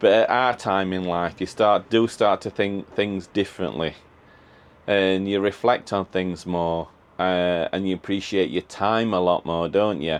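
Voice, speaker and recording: At a fairly slow pace, a man speaks in a very deep, low voice with fairly even intonation. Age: 50s. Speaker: van-life vlogger. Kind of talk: casual vlog monologue. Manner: halting.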